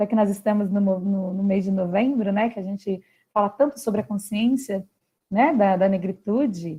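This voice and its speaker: A woman's somewhat breathy voice in a dark, mellow tone, with ordinary pitch variation at a moderate pace. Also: medium pitch for a woman. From Brazil, São Paulo state. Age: 30s. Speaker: philosopher and socio-emotional education specialist. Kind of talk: talk to school families. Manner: animated.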